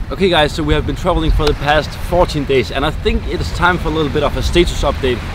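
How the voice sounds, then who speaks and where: With a Danish accent, a man talks at a very fast pace with hardly any pauses. Noticeable background noise runs underneath. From Denmark. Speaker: travel vlogger. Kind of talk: casual talk to camera.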